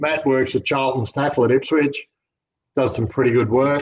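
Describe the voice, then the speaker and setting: In an Australian accent, a man speaks at a moderate pace and medium pitch, his intonation monotone and flat. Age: 60s. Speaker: fishing lure expo organiser. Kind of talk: casual interview.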